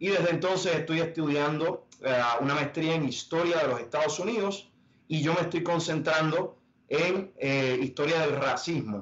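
At a moderate pace, a man with a fairly high pitch speaks with ordinary pitch variation and very even loudness. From Puerto Rico. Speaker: Jesuit in training. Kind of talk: panel discussion. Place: home room. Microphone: video call.

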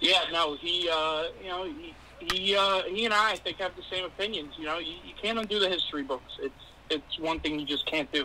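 A raised, projected voice with an American accent, at a fairly quick pace, with ordinary pitch variation and light background noise. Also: man, high pitch for a man. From New York City, the Bronx. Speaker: sports card seller. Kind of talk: casual chat while playing a video game. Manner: hesitant, many fillers. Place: home room.

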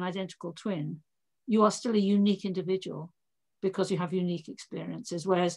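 The background is quiet while a woman talks at a fairly quick pace. Her pitch varies in an ordinary way. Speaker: interviewee. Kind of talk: interview answer. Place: home room. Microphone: video call.

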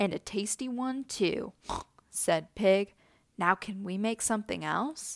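The clip is reading aloud in a natural voice, and its pitch shifts in an ordinary way.

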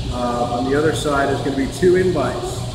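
A man talks at a moderate speed amid noticeable background noise and audible room echo. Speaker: church pastor. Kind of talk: church announcements. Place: hall. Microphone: camera far.

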